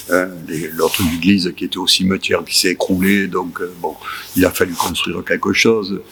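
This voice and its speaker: A man's very deep, low voice at a moderate pace, with noticeable background noise. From southern France, Marseille area. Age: 70s. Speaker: church association volunteer, retiree. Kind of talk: interview testimony. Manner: halting, many hesitations.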